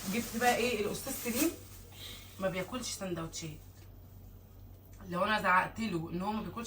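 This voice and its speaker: With audible room echo, a woman talks at a fairly quick pace, ordinary pitch variation and long, frequent pauses. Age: 20s. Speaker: vlogger and mother. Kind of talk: casual vlog chat.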